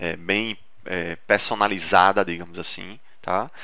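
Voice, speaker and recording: The man's voice has a bright, sharp tone. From Recife, northeast Brazil. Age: 30s. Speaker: dentist and marketing instructor. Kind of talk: webinar presentation. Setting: online webinar. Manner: casual, with frequent fillers and false starts.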